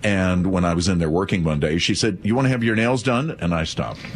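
There is noticeable background noise. Against it, a man with a very deep, low pitch talks with lively intonation. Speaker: eye doctor. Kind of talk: live call-in radio show.

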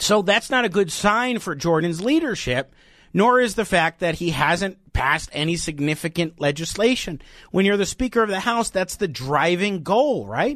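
Against a quiet background, a man with an American accent speaks at a moderate pace, his voice high-pitched and his intonation lively. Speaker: radio host. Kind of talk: live talk radio with callers. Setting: studio.

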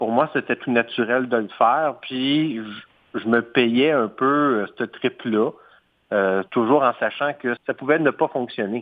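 A medium-pitched male voice in a Quebec accent, very slow in pace, with fairly even intonation. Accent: Québécois French. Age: 40s. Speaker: entrepreneur. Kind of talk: interview. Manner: hesitant, with fillers and repetitions.

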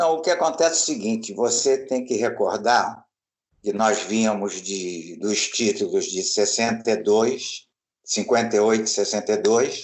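Ordinary pitch variation marks a man's speech, delivered at a very slow pace. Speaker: retired sports journalist. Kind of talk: interview reminiscence.

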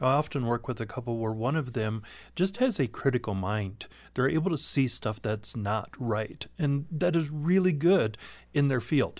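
A man's unremarkable speaking voice, medium in pitch, at a moderate pace with lively intonation. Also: very clean recording, silent background. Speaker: sex therapist. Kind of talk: radio interview.

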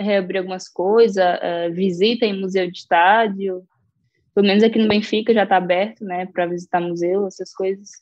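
In an ordinary speaking voice, a woman talks at a medium pitch and a moderate pace with fairly even intonation. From Brazil, Maranhão (Caxias). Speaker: professional footballer. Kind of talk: interview.

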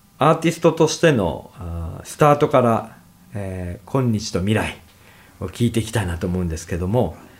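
A man's somewhat breathy voice, with very wide pitch swings and big swings in loudness. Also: medium pitch for a man, moderate pace. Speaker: radio host. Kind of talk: casual interview.

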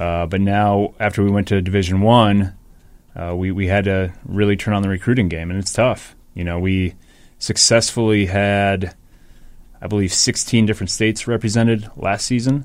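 In an ordinary speaking voice, a man with an American accent speaks at a moderate pace, his pitch fairly low and his intonation fairly even, on a very clean recording with a silent background. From Minnesota, Rochester. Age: 40s. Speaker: university hockey program manager. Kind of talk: interview.

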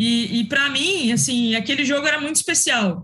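Very wide pitch swings in a bright, sharp tone at a moderate pace. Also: woman. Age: young. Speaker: sports commentator. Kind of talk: casual chat. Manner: formal.

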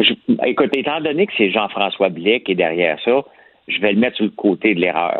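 The man's pitch is fairly low and his intonation lively. He keeps a moderate pace. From rural Quebec. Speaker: columnist. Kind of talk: casual chat.

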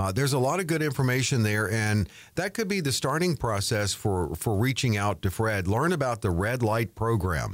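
Recorded very cleanly against a silent background, a man speaks in an ordinary speaking voice at a medium pitch. His intonation is lively and his loudness very even. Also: moderate pace, hardly any pauses. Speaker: co-host and announcer. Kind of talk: radio talk show co-host.

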